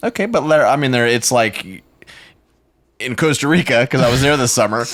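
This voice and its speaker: With an American accent, a man talks at a fairly quick pace in a medium pitch, sounding animated with ordinary pitch variation. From US South. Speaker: podcast host. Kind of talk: casual chat.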